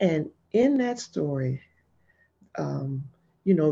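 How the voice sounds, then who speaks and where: With an American accent, the voice has a dark, mellow tone against a quiet background. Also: woman. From Jacksonville, Florida. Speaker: business owner. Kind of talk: casual panel chat.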